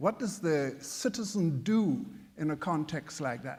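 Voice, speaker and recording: Speaking at a fairly slow pace, a man with a high pitch and a non-native accent uses lively intonation. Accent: foreign. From outside the US. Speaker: history professor, panelist. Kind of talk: panel discussion. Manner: halting.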